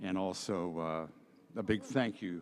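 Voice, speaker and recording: A man's very deep, low voice with an American accent and ordinary pitch variation, in a very clean recording with a silent background. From Ohio, US Midwest. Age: 80s+. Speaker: artist. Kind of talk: acceptance speech.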